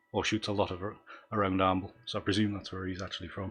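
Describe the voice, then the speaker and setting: A man speaks with a Northumbrian accent. His intonation stays monotone and flat. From North East England, Northumberland. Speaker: photography YouTuber, abstract landscape photographer. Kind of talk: live stream commentary. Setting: live stream from home. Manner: hesitant, many fillers.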